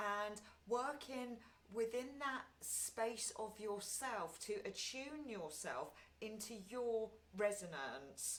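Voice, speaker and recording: With audible room echo, a woman with a fairly high pitch speaks at a very slow pace and with lively intonation. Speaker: meditation group leader. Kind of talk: guided meditation talk. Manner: loud; frequent ums.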